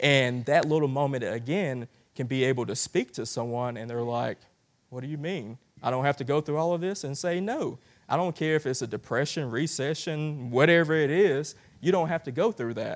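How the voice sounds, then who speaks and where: In a very clean recording with a silent background, a man with a Southern US accent talks at a moderate pace, his fairly high pitch showing ordinary variation. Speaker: guest preacher. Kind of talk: sermon. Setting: church with congregation. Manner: halting with many fillers.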